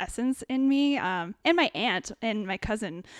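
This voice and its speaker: A woman with a Canadian accent has an unremarkable speaking voice, fairly high in pitch with ordinary pitch variation, in a dry, close sound with no echo. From Ontario, Canada (small town near Kitchener-Waterloo). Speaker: potter, former graphic designer. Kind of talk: casual chat.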